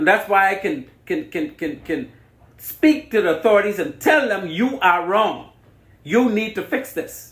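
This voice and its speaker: A man with a Bahamian accent speaks in a passionate tone at a high pitch and a fairly slow pace. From Bahamas. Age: 60s. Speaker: radio host. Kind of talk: radio interview.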